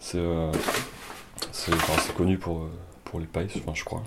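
A man's voice with a very deep, low pitch. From France. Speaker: home cook. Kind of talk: casual chat. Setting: kitchen. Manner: halting.

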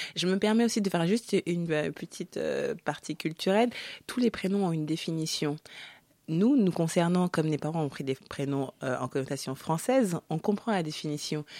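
A woman's fairly low voice, dark and mellow, with lively intonation at a moderate pace on a very clean recording with a silent background. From Africa (Congo). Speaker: author. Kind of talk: radio interview.

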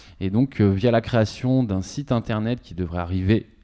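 A man with a dark, mellow tone talks at a fairly low pitch and a fairly slow pace with ordinary pitch variation, recorded very cleanly against a silent background. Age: 40s. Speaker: radio professional and youth association founder. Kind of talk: interview. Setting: studio.

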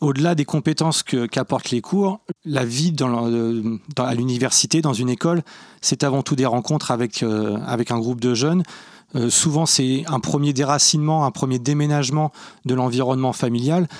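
Recorded with a dry, close sound and no echo, a man speaks at a moderate pace and medium pitch, with ordinary pitch variation and very even loudness. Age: 40s. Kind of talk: interview. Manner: hesitant, repeats words.

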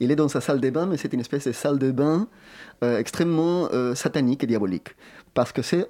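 In a quiet background, a man speaks in a dark, mellow tone. His pitch varies in an ordinary way. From Chile. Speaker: theatre director. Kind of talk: interview.

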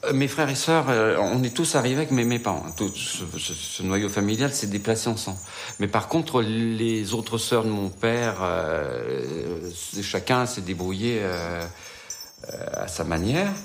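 Music plays in the background as a man speaks at a very slow pace, with audible room echo around him. His medium-pitched voice has lively intonation. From Isère, France. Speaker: interviewee, son of repatriates. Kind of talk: testimony.

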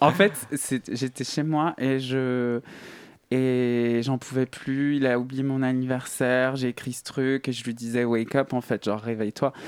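In a plain, everyday voice at medium pitch, a man speaks at a fairly slow pace with fairly even intonation, the sound dry and close with no echo. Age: 30s. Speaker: singer. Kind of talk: interview. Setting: studio.

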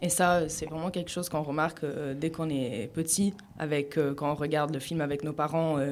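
Speaking at a fairly slow pace, a woman has a fairly low pitch and an ordinary speaking voice. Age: 20s. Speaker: student radio panelist. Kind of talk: casual chat.

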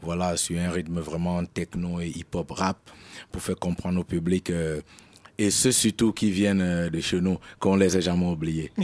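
At a fairly slow pace, a man speaks in a very deep, low pitch with a monotone, flat intonation, the sound dry and close with no echo. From Cameroon. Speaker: rapper. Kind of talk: interview.

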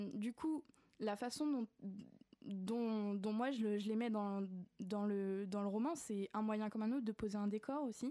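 A woman's fairly high-pitched voice, dark and mellow in tone, with ordinary pitch variation, very even loudness, a fairly slow pace and long, frequent pauses. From grew up abroad, various countries. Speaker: children's author. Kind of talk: radio interview. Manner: halting, many repetitions and hesitations.

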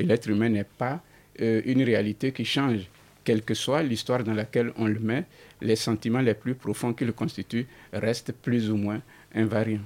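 A man speaks with fairly even intonation at a moderate pace. His voice sits at a medium pitch. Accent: non-native. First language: not French (speaking French). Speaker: writer. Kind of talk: radio interview.

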